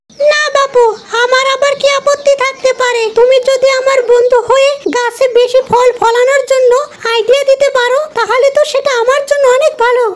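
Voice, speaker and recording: This cartoonish character voice holds a flat, monotone intonation throughout. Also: woman, extremely high pitch for a woman, moderate pace. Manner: earnest.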